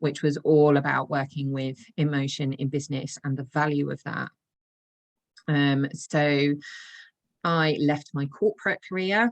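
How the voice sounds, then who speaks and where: A woman's very deep, low voice at a fairly slow pace, with fairly even intonation, long, frequent pauses, and a dry, close sound with no echo. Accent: English. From England. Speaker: intuitive coach. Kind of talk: podcast interview.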